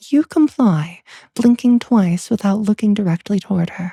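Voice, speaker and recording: In dry, close sound with no echo, a woman of medium pitch speaks at a moderate pace in a soothing, dark, mellow tone that is somewhat breathy. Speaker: bedtime story narrator. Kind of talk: ASMR sleep story narration. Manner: soft, soothing narration.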